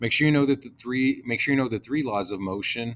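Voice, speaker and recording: There's a man whose pitch varies normally. The background is silent and the recording very clean. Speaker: teacher. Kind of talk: lecture. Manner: fast.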